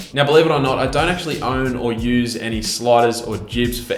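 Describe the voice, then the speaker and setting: With music in the background and audible room echo, a man with an Australian accent speaks at medium pitch with fairly even intonation. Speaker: YouTube filmmaker. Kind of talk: Q&A tech vlog.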